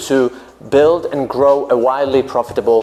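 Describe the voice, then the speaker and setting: A Polish accent at a moderate pace, with noticeable background noise. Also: man. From Poland. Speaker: business coach for English teachers. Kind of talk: vlog-style advice talk.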